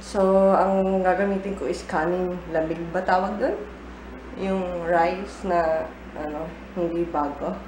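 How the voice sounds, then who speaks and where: With a medium-pitched, fairly even delivery, a woman talks at a fairly slow pace with long, frequent pauses, over noticeable background noise and audible room echo. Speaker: vlogger. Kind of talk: casual vlog. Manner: casual, chatty.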